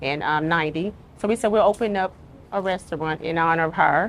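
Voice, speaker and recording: A woman talks in an Arkansas accent at a moderate pace. Her pitch is fairly low and her intonation fairly even. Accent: Southern US (Arkansas). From US South, Little Rock, Arkansas. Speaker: restaurant co-owner. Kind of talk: casual interview.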